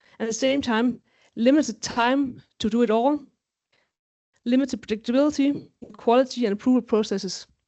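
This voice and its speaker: At a fairly quick pace, a high-pitched woman talks with fairly even intonation and long, frequent pauses. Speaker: quality management lead. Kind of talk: conference presentation. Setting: stage with audience. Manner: fast.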